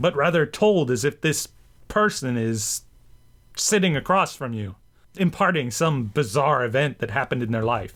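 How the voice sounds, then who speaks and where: In a very clean recording with a silent background, a man with an unremarkable speaking voice talks at a moderate pace with lively intonation. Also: fairly high pitch for a man. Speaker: vlogger and radio drama enthusiast. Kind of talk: casual talk to camera.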